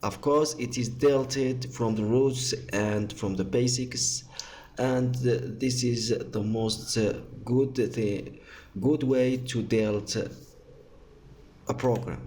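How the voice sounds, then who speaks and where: With a non-native accent, a man of medium pitch speaks at a very slow pace with fairly even intonation, in audible room echo. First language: not English. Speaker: tech tutorial youtuber. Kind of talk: tutorial. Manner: halting.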